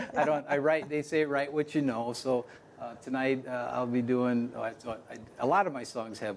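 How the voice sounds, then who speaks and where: Someone with an American accent talks at a fairly quick pace over noticeable background noise. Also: man. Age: 60s. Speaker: folk musician and songwriter. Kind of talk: interview.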